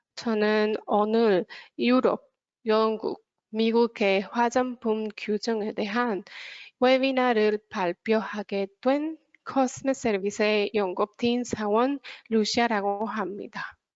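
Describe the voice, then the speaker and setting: With a non-native accent, a woman speaks at a very slow pace, her fairly high pitch held in fairly even intonation. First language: not Korean (speaking Korean). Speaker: consultancy researcher presenter. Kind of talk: webinar presentation.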